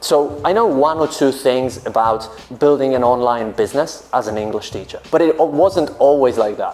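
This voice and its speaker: With a Polish accent, a man talks at a moderate pace and fairly high pitch. His pitch varies in an ordinary way, and noticeable background noise is present. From Poland. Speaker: business coach for English teachers. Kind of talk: vlog-style advice talk.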